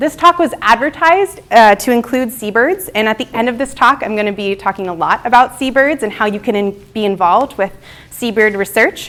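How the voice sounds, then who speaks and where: Over noticeable background noise, a woman talks with lively intonation and a high pitch. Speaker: wildlife biologist. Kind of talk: lecture. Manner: fast; animated.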